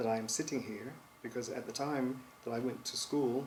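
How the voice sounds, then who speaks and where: With an American accent, a man talks at a fairly quick pace in fairly even intonation over noticeable background noise. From US South, North Carolina. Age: 60s. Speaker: composer. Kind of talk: interview. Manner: hesitant, with many fillers.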